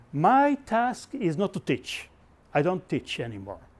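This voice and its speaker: Here a man is talking. His pitch swings very widely. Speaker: professor and workshop facilitator. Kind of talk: lecture. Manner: fast; animated.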